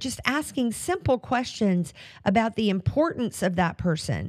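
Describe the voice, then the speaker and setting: On a very clean recording with a silent background, a woman speaks at a moderate pace. Her fairly high voice swings very widely in pitch. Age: 60s. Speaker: podcast host and life coach. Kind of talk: solo motivational talk. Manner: casual, with frequent fillers and restarts.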